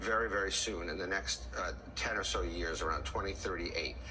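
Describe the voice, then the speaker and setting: A man's voice moves at a moderate pace, carrying audible room echo, with noticeable background noise in the recording. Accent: American. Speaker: economic commentator. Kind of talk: explainer interview.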